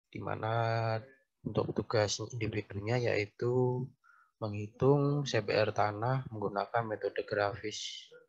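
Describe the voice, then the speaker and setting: A man of medium pitch speaks at a very slow pace, somewhat breathy. His intonation is monotone and flat against a quiet background. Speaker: university lecturer. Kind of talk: online lecture. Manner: soft-spoken.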